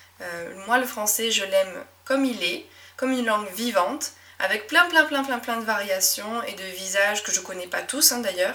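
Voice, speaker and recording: Loudness swings widely as the speaker goes at a moderate pace against noticeable background noise. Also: woman, fairly high pitch for a woman. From southwest France (Médoc, near Bordeaux). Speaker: French teacher and podcast host. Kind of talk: solo podcast monologue. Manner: natural, relaxed.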